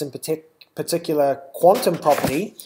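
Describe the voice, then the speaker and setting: A man with a New Zealand accent speaks at a fairly high pitch for a man, his intonation fairly even. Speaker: webinar presenter. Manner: frequent filler words, hesitant.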